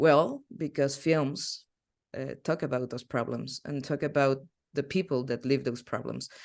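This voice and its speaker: Speech comes at a fairly slow pace with a Spanish accent. The background is quiet. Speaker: film history teacher. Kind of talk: online masterclass lecture. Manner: halting.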